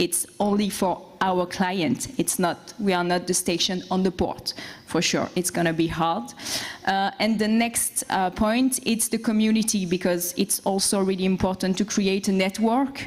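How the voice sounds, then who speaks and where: A woman's medium-pitched voice with a French accent, fairly slow pace, ordinary pitch variation and very even loudness. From France. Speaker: boat captain and entrepreneur. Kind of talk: conference presentation.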